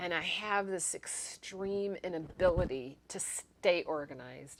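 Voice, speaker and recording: A woman's fairly low voice at a fairly slow pace, with ordinary pitch variation and an ordinary speaking voice. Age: 60s. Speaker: YouTuber sharing ADHD experiences. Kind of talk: personal vlog monologue. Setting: home apartment recording space. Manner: casual, conversational with fillers.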